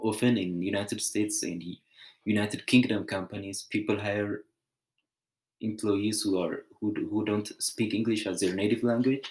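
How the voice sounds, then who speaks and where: In a strong non-native accent, a man with a fairly low pitch speaks at a moderate pace in a monotone, flat way, on a very clean recording with a silent background. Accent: heavy foreign. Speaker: student. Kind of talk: class presentation. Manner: halting.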